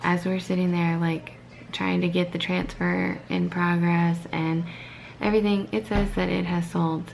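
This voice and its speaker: Her loudness stays very even as a woman speaks at a fairly slow pace amid audible room echo and noticeable background noise. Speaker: family vlogger. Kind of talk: casual vlog chat. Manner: animated.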